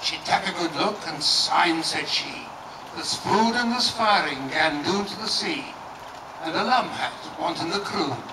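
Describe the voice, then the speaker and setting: A man speaks at a moderate pace in a high pitch with lively intonation, over noticeable background noise. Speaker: performer. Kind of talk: poetry reading. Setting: nursing home, live audience. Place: garden. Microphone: camera far.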